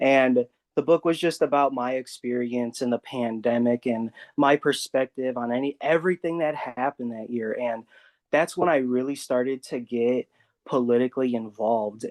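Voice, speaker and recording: In an American accent, a man with an unremarkable speaking voice talks at a medium pitch and a moderate pace with fairly even intonation, his sound dry and close with no echo against a quiet background. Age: young. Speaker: school board candidate. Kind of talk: interview.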